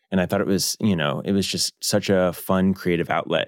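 This man has a very deep, low pitch and an American accent, speaking at a moderate pace. The very clean recording has a silent background and a dry, close sound with no echo. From US South, Louisville, Kentucky. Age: 20s. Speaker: cook and social media creator. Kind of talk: casual interview. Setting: studio.

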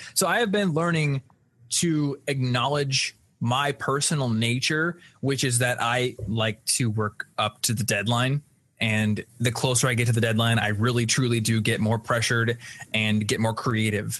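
A man with a plain, everyday voice and an American accent talks at a moderate pace, his loudness very even and his pitch variation ordinary. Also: medium pitch for a man. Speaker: podcast host. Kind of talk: casual chat, live Q&A. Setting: live stream video call.

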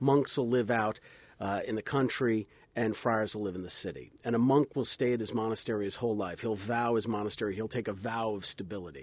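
Talking at a fairly quick pace, a man uses a fairly low pitch with ordinary pitch variation. The recording is very clean, with a silent background. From New Jersey, US. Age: 40s. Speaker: priest and radio host. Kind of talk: casual chat. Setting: studio.

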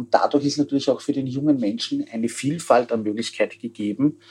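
With a Viennese accent, a man speaks in a dark, mellow tone and with fairly even intonation. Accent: Viennese Austrian German. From Austria, Vienna. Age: 40s. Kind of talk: interview. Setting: remote connection.

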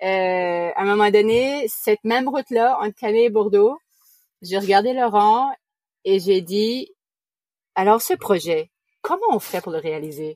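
A woman speaks in an Acadian accent at a very slow pace, with a medium pitch and ordinary pitch variation. The sound is dry and close, with no echo. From New Brunswick, Canada (Acadian). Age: 40s. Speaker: sailor, family living aboard. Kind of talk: interview.

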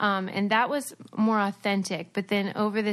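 At a moderate pace, a woman speaks at a medium pitch in an ordinary speaking voice against a quiet background. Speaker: former reality TV star and podcaster. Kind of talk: casual interview chat.

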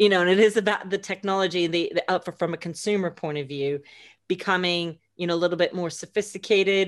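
A medium-pitched woman with an American accent talks at a very fast pace with fairly even intonation against a quiet background. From United States. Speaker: immersive audio producer. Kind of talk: interview. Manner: halting, many fillers.

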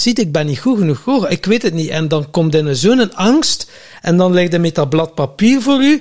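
A man with a Flemish accent speaks at a moderate pace in a high, animated voice with lively intonation. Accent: Flemish Dutch. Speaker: podcast co-host. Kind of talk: casual chat. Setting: farmhouse.

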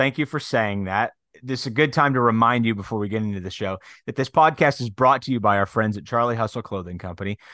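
Against a quiet background, a man talks very fast at a medium pitch with ordinary pitch variation, his bright, sharp tone captured in a dry, close sound with no echo. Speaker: sports podcast host. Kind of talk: casual chat.

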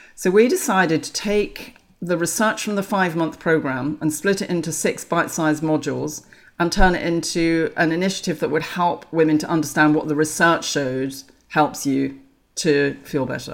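A woman talks with an English accent. Her pace is moderate and her pitch varies in an ordinary way. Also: fairly low pitch for a woman. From England. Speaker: menopause author. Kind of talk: interview.

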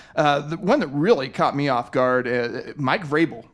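An unremarkable speaking voice from a man at fairly high pitch, ordinary pitch variation, on a very clean recording with a silent background. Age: 40s. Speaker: sports podcast host. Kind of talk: casual chat.

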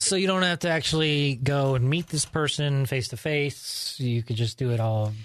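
A man speaks at a moderate pace with a fairly high pitch and ordinary pitch variation. His is an unremarkable speaking voice, with hardly any pauses. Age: 30s. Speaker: podcast co-host. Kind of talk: casual chat.

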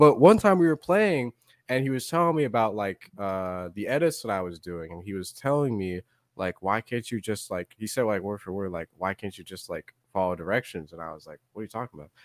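Over a silent background in a very clean recording, a man with a plain, everyday voice speaks at a fairly quick pace with lively intonation and a dry, close sound free of echo. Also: fairly low pitch for a man, big swings in loudness. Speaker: content creator. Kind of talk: casual chat. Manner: casual, slangy.

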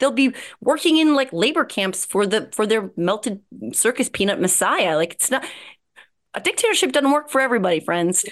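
A woman with a New Jersey accent talks at a fairly quick pace, her fairly high pitch making very wide swings. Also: quiet background. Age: 40s. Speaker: podcast host. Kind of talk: casual chat.

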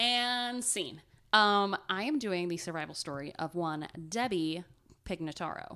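A woman's medium-pitched voice with an Ohio accent, bright and sharp in tone, lively in intonation, at a fairly slow pace. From Ohio, US Midwest. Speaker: podcast co-host. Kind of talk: casual chat, storytelling.

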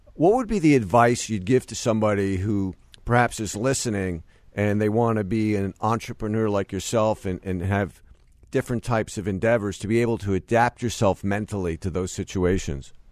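With a normal speaking voice, the speaker talks fairly quickly and varies pitch in an ordinary way. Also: man, fairly low pitch for a man. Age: 50s. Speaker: sports business podcast host. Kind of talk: interview.

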